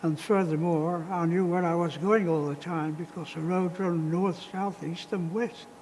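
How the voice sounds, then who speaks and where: A man at a moderate pace with a high pitch. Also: fairly even intonation. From northern England, Lancashire. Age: 90s. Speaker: war veteran. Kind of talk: testimony. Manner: halting.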